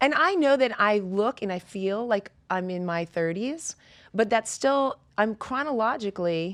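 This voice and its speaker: A woman speaks at a fairly slow pace in an unremarkable speaking voice, her fairly high pitch moving with lively intonation over a quiet background, the sound dry and close with no echo. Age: 50s. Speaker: fitness coach. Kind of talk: casual chat.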